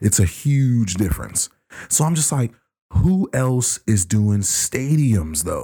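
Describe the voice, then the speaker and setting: Very slowly and somewhat breathily, a man speaks at a medium pitch with a dark, mellow tone and very wide pitch swings, captured in a dry, close, very clean recording with no echo and a silent background. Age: 30s. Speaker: returning podcast guest. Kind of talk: casual chat.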